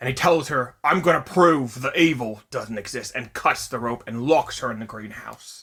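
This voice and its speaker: A man speaks at medium pitch in a put-on character voice, at a moderate pace with hardly any pauses. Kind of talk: casual movie review recap. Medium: solo performance. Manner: conversational, rambling, self-correcting.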